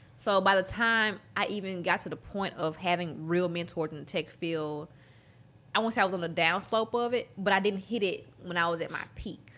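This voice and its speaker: A woman's bright, sharp voice with a Southern US accent, medium in pitch, with ordinary pitch variation. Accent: Southern US drawl. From Mississippi, US South. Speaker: app developer entrepreneur. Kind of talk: casual interview chat.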